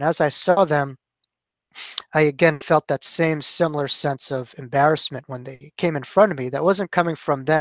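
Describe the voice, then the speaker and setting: A man speaks at a moderate pace with a fairly high pitch and fairly even intonation. The background is quiet and the sound is dry, with no echo. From New York. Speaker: author and near-death experiencer; guest. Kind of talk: talk to a support group. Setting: video call. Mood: calm, reflective. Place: home room. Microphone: headset.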